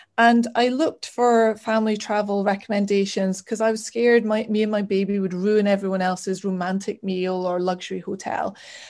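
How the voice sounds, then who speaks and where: In a northeast Scottish accent, a woman speaks at a fairly quick pace with hardly any pauses and a medium pitch. Her intonation is monotone and flat, and the recording is very clean with a silent background. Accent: Scottish (north-east). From Scotland, Aberdeen. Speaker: travel blogger. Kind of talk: casual chat.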